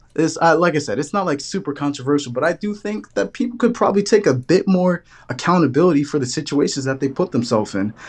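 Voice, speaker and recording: A man with a New York accent races along at a very fast pace with hardly any pauses, his fairly high pitch making very wide swings. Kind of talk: casual debate chat.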